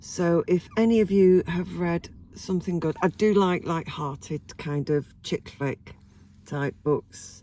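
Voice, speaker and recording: An English accent at a very slow pace, with a dark, mellow tone and ordinary pitch variation. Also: woman, fairly low pitch for a woman. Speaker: vlogger. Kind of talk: casual chat. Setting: in a car. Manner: hesitant, many ums.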